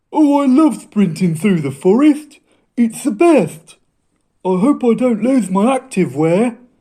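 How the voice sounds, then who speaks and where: A cartoonish character voice pitched fairly high. It moves at a fairly slow pace. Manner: eager, excitable.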